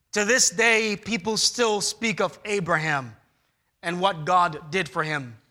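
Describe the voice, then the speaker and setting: A man with a bright, sharp tone and lively intonation at a very slow pace, in a very clean recording with a silent background. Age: 30s. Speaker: pastor. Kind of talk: sermon. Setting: church.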